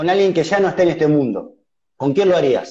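A man's high voice with a dark, mellow tone and ordinary pitch variation. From Uruguay. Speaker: online interviewer. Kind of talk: interview. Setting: live video call on Instagram. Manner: halting, repeats words. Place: home room. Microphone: studio mic.

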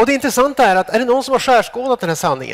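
The background stays quiet as a man talks. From Sweden. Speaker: psychologist and academic. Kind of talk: lecture. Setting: stage with audience. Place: stage. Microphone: headset.

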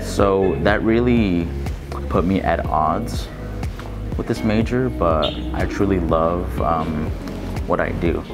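A man speaks at a very slow pace with long, frequent pauses, and there is noticeable background noise. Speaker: university student. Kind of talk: interview answer. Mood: earnest, determined.

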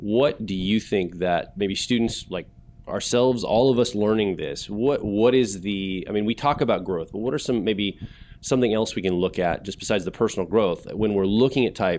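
A man talks in a normal speaking voice, fairly low in pitch. His pace is moderate and his pitch variation ordinary. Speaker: event host. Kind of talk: panel Q&A discussion. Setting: stage with audience. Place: hall. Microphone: handheld.

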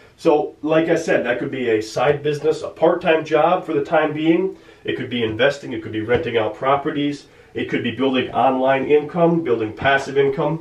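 In a room with audible echo, a man with an American accent speaks at a moderate pace, his pitch fairly high with ordinary variation. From United States. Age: 20s. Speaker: personal finance YouTuber. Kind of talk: casual talk-to-camera tutorial; whiteboard tutorial talk. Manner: casual, with frequent fillers (um, uh). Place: home room.

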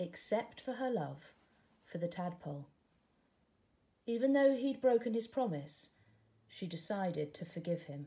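A woman speaks at a fairly slow pace in a fairly low, dark, mellow voice, her intonation lively and broken by long, frequent pauses.

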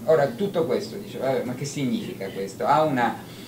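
A man talks at a moderate pace amid light background noise, with audible room echo around him. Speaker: conference speaker. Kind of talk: lecture. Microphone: handheld.

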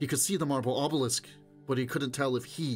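Just plain reading aloud.

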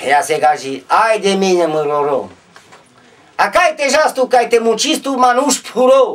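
A man with an extremely high pitch and very wide pitch swings at a fairly slow pace. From Maramureș, Romania. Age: 50s. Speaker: storyteller, broomstick maker. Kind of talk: folk storytelling. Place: home room. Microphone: camera far.

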